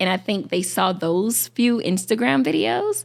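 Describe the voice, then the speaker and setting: A woman with an Alabama accent speaks at a medium pitch on a very clean recording with a silent background. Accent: Southern US (Alabama). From Alabama, Shelby County near Birmingham. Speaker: content creator. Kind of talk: interview. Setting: film festival podcast recording. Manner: casual, hesitant with fillers.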